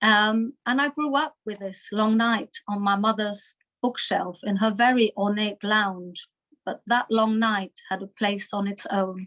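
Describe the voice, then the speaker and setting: A woman with a slight German accent speaks fairly slowly in a fairly high voice with fairly even intonation, the sound dry and close with no echo. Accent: slight German twang. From Germany (Munich, Bavaria). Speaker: Holocaust survivors' daughter, speaker. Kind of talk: talk to webinar audience. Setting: video call webinar.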